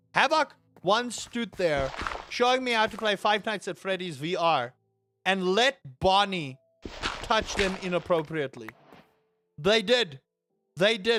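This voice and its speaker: Over music in the background, a man speaks at a high pitch and a fairly slow pace. His tone is animated and his intonation lively. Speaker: gaming streamer. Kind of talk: casual live stream chat.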